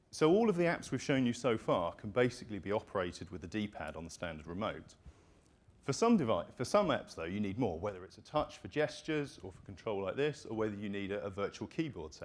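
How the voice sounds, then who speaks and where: A man with a British accent talks at a very fast pace with a fairly low pitch. His pitch swings very widely, and his loudness swings a lot too. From United Kingdom. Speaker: company presenter. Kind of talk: product demo presentation.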